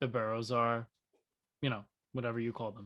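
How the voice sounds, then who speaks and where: A man with an American accent talks at medium pitch in a bright, sharp tone. The sound is dry and close, with no echo. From New York. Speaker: podcast co-host. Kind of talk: casual chat.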